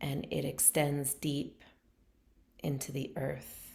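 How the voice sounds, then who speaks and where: Over audible room echo, a woman talks very slowly in a very deep, low voice with a calm tone. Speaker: meditation teacher. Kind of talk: guided meditation; casual talk to camera. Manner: calm, slow.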